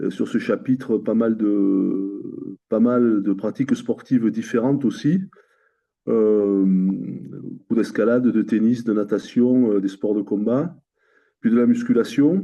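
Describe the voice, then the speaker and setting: A man's very slow pace at a medium pitch, with very even loudness and ordinary pitch variation. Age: 60s. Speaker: coaching client. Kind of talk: interview testimony. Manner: halting, many fillers and repetitions.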